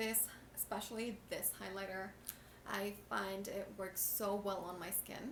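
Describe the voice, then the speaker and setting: A woman mumbles at a fairly slow pace. Audible room echo and noticeable background noise surround her voice. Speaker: beauty vlogger. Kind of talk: makeup tutorial. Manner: mumbling; casual, chatty.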